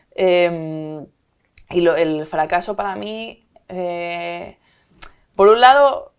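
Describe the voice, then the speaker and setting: With a fairly low pitch and lively intonation, a woman talks with big swings in loudness and long, frequent pauses. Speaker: company CEO. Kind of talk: interview conversation. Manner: fast.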